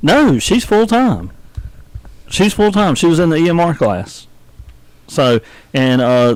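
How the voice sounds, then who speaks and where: A man with a Southern US accent, high-pitched for a man, with very wide pitch swings, very even loudness, and long, frequent pauses. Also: fairly slow pace. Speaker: radio host. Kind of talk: casual chat; birthday announcements. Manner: casual, halting.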